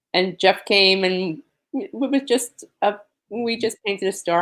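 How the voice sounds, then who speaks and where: The recording is very clean, with a silent background. A woman with an American accent speaks at a very slow pace. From New York, Queens. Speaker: disaster survivor advocate. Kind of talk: interview.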